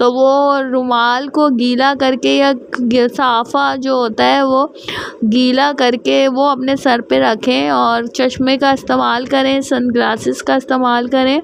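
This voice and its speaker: A woman with a high pitch speaks in a monotone, flat way at a very even loudness, with hardly any pauses. Background noise is noticeable. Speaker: vlogger. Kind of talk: casual personal vlog monologue.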